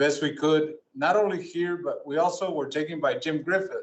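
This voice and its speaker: A man speaks with an American accent in a plain, everyday voice. His pace is moderate. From Tucson, Arizona. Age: 60s. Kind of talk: speech of thanks. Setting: city council meeting.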